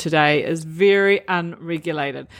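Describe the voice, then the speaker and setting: A woman speaks with a New Zealand accent. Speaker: nutritionist, podcast host. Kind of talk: solo podcast talk, educational. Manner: animated.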